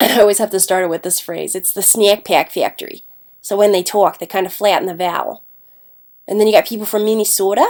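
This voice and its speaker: She talks at a very fast pace. Her intonation is fairly even. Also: medium pitch for a woman. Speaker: English language arts teacher. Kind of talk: classroom lecture. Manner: casual, talkative with brief accent imitations.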